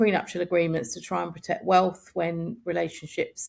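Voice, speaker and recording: This woman has a southern English accent. Her pitch is fairly low. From southeast England, Kent. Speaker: family lawyer. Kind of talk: podcast interview.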